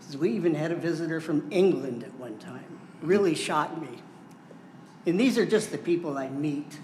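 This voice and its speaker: There is noticeable background noise and audible room echo. A man with an Upper Midwest accent speaks at a fairly high pitch with ordinary pitch variation. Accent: Upper Midwest American. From US Midwest (southwest Michigan). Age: 70s. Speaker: member of the public. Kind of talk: public comment at a county board meeting. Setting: county board meeting room.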